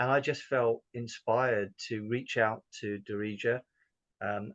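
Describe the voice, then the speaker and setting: A man of medium pitch with a southern English accent, at a fairly slow pace with fairly even intonation, in a dry, close sound with no echo. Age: 60s. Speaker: business owner. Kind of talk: interview testimony. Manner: hesitant, many fillers.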